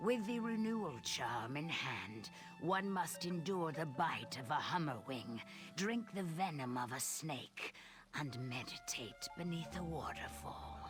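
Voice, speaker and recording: A put-on character voice at middle pitch and a fairly slow pace, with clear music in the background. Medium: video game. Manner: formal, guarded.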